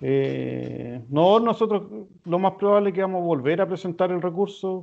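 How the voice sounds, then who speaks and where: With a Chilean accent and lively intonation, a man talks at a moderate pace in a high pitch. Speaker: lawyer. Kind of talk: interview. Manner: hesitant, many fillers.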